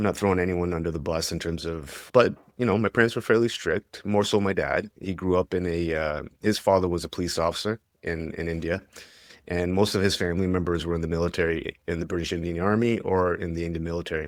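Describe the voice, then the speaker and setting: With a Canadian accent, a man talks at a very fast pace in a very deep, low pitch and fairly even intonation, on a very clean recording with a silent background. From Canada. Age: 40s. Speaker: mental health advocate and former police officer. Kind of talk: interview conversation. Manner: hesitant, many fillers.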